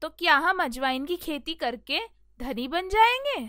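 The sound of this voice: A woman does a cartoonish character voice at a high pitch, her tone bright and sharp, with big pitch swings and a fairly slow pace.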